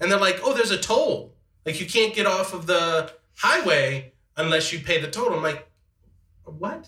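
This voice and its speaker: A high-pitched man raises and projects his voice with lively intonation, speaking at a moderate pace broken by long, frequent pauses. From Metairie, Louisiana. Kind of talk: casual chat.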